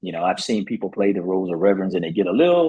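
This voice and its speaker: A man is speaking. His pitch swings very widely. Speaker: actor and retired Air Force veteran. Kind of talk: interview. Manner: loud; halting.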